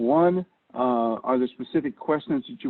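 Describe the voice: A man with a medium-pitched voice speaks with vocal fry and ordinary pitch variation.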